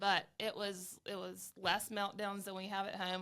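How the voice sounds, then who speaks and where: In a very clean recording with a silent background, a woman with a strong Southern US accent speaks at a fairly slow pace, her medium pitch and bright, sharp tone held in a monotone, flat intonation. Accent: thick Southern US. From Alabama, US South. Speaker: travel advisor. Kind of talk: casual interview chat. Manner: hesitant, many fillers.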